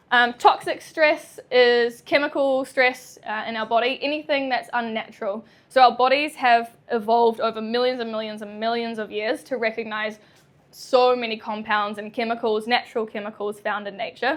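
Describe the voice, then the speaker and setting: With a New Zealand accent, a woman speaks at a moderate pace and a fairly high pitch. Her pitch variation is ordinary, while her loudness shows big swings. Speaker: chiropractor. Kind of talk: public talk. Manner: hesitant, many fillers.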